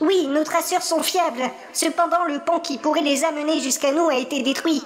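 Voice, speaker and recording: The speaker uses a put-on character voice at a high pitch. Background noise is clearly audible. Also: moderate pace. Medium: audio drama. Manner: deferential.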